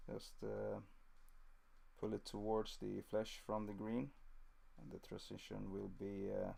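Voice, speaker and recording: Speaking with a Swedish accent at a fairly slow pace, the voice leaves long, frequent pauses. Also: man. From southern Sweden (Scania). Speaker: miniature painting streamer. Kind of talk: live-stream painting tutorial. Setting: live stream. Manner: halting, many fillers.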